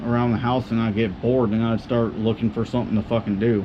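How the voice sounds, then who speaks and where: A man speaks at a very fast pace with fairly even intonation. Noticeable background noise runs beneath him. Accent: American. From Southern California desert. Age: 20s. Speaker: YouTuber, dirt bike rider. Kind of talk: casual vlog monologue. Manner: soft-spoken; fidgety, high energy.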